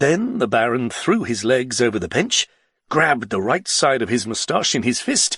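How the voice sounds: A natural reading voice is heard with little behind it but a quiet background.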